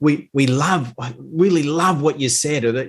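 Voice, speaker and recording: A somewhat breathy man speaks with an Australian accent and ordinary pitch variation. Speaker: leadership coach and author. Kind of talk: interview podcast guest.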